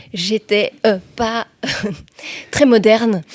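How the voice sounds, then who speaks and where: The woman's voice sits at medium pitch with fairly even intonation, and the sound is dry and close with no echo. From Belgium, Liège province (Hesbaye). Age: 40s. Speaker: journalist and TV/radio presenter. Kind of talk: podcast interview. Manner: hesitant, many fillers.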